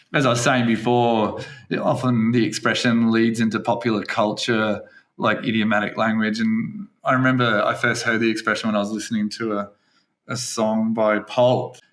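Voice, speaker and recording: A man with an Australian accent talks at a moderate pace. His pitch is medium and his intonation is flat and monotone. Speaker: English teacher and podcast host. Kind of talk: casual podcast chat.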